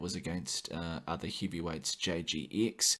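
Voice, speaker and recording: The recording is very clean, with a silent background. A man speaks with a New Zealand accent. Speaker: gaming podcast host. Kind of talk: podcast monologue. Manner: frequent filler 'uh'.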